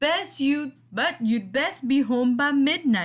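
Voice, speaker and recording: The voice sounds female. It is a put-on character voice. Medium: read story.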